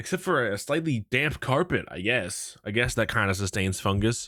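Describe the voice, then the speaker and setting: A man's medium-pitched voice at a moderate pace, on a very clean recording with a silent background. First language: not English. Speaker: gaming youtuber. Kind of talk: video reaction commentary. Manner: animated.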